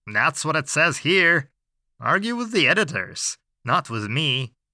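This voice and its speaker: A man puts on a character voice with very wide pitch swings, delivered at a fairly slow pace. The sound is dry and close with no echo, on a very clean recording with a silent background. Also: fairly high pitch for a man. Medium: read story. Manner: dry, weary, lawyerly.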